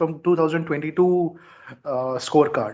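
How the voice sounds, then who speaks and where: A man with an Indian accent, fairly high pitch for a man and ordinary pitch variation. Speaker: MBA applicant. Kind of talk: group discussion, sharing interview experience.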